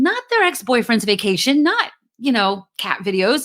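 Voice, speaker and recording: With a New Jersey accent, a woman speaks at a fairly high pitch that moves through very wide swings. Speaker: podcast host; LinkedIn marketing coach. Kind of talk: podcast talk, motivational business advice. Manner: energetic, direct, casual.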